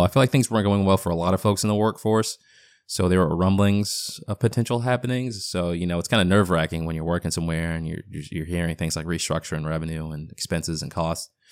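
Speech comes at a very fast pace on a very clean recording with a silent background. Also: man. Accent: American. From Boston, US Northeast. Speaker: podcast host and founder. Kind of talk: casual solo update. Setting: home basement studio. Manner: rambling, casual.

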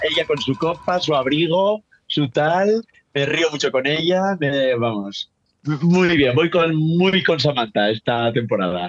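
Lively intonation at a very slow pace, with very even loudness and a dry, close sound with no echo. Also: man, fairly high pitch for a man. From northern Spain. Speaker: drag commentator. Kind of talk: casual chat.

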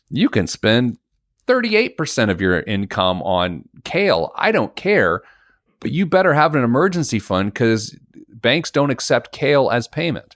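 A man's voice with vocal fry and very wide pitch swings comes through dry and close with no echo, in a very clean recording against a silent background. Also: medium pitch for a man, moderate pace. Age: 40s. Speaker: financial educator and author. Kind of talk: casual interview.

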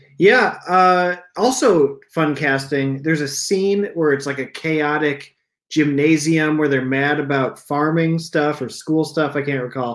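A man with a plain, everyday voice and an American accent speaks at a fairly slow pace and a fairly high pitch with ordinary pitch variation, on a very clean recording with a silent background. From eastern Iowa. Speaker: stand-up comedian. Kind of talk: casual chat.

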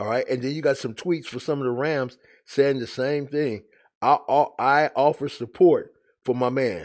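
An unremarkable speaking voice from a man, fairly high in pitch, at a moderate pace with fairly even intonation against a quiet background. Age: 50s. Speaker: sports commentary video host. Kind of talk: casual monologue.

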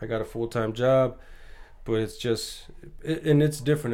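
A man talks with an American accent. His intonation stays fairly even. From US West Coast, Bakersfield, California. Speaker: boxing coach and amateur fighter. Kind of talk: casual chat.

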